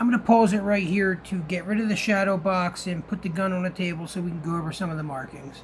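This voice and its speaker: The pace is very fast. There are hardly any pauses. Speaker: gun channel host, gun store worker. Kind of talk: show-and-tell tutorial. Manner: trying to speak louder.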